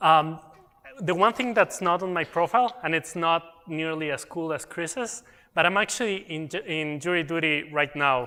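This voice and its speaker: At a moderate pace, a man with a slight non-native accent speaks in a bright, sharp tone, high-pitched with ordinary pitch variation. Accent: slight foreign. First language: Spanish. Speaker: technical program manager presenting at a conference. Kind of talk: conference presentation.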